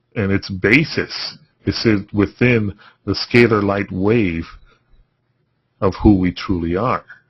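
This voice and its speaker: Somewhat breathy and fairly low in pitch, a man talks at a very slow pace with long, frequent pauses. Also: ordinary pitch variation. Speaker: spiritual healing course teacher. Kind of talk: webinar lecture. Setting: webinar. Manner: voice getting softer.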